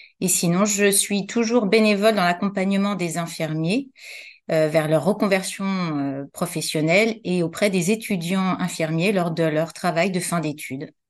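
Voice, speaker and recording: In an ordinary speaking voice, a woman talks at a fairly slow pace and a medium pitch with ordinary pitch variation against a quiet background. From Paris, France. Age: 50s. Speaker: entrepreneur, former occupational health nurse. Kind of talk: interview.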